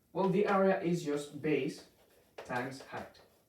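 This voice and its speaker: A man speaks with a Spanish accent in a fairly high pitch. Audible room echo surrounds his voice. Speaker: math teacher. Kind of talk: tutorial. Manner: halting, many fillers.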